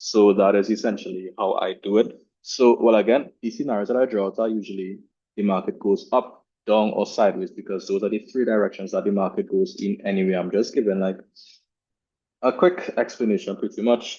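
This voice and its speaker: A man is speaking at a fairly quick pace. His pitch varies in an ordinary way. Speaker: trading analyst. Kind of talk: market analysis tutorial. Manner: fast; casual with self-corrections.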